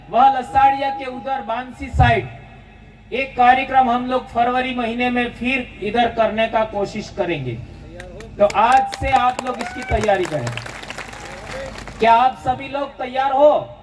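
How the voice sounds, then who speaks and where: With crowd noise in the background, a man speaks at a very slow pace. His extremely high pitch shows ordinary variation. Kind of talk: public speech at rally. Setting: outdoor tent with audience. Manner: forceful, impassioned.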